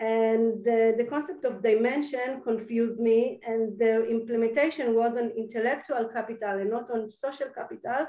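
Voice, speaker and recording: A woman's dark, mellow, fairly high-pitched voice at a moderate pace, with fairly even intonation, hardly any pauses and a quiet background. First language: Hebrew. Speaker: university lecturer. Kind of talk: lecture. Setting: video call. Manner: halting.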